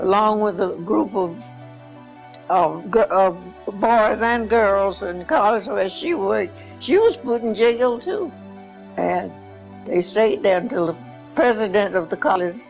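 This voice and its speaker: With music playing behind, the speaker leaves long, frequent pauses. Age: 80s+. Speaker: video biography interviewee. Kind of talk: interview answer. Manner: halting, repetitive.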